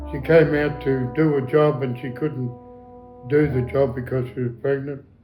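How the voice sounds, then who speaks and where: A man speaks with monotone, flat intonation. Music plays in the background. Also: medium pitch for a man, moderate pace. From Australia. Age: 80s+. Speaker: war veteran. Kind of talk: interview answer.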